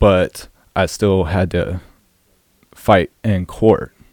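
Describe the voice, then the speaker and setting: In an American accent, a man with a very deep, low pitch speaks with fairly even intonation in a dry, close sound with no echo. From South Carolina (Orangeburg). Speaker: author and churchgoer. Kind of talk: testimony.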